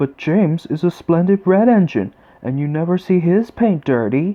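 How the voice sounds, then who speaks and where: A man puts on a character voice, pitched high. He speaks at a moderate pace. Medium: read story. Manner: innocent, gentle.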